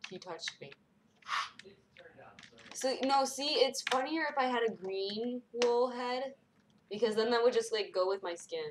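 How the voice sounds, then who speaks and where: A woman with an American accent, high pitch and lively intonation, moderate pace, long, frequent pauses, big swings in loudness, noticeable background noise. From Washington state. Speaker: gamer streamer. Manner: animated.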